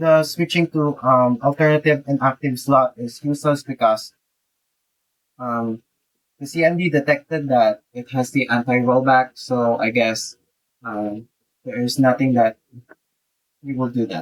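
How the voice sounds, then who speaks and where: Fairly slow speech in a non-native accent, with long, frequent pauses, ordinary pitch variation, and a dry, close sound with no echo. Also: man, medium pitch for a man. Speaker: tech YouTuber. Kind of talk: tutorial. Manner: halting, many fillers.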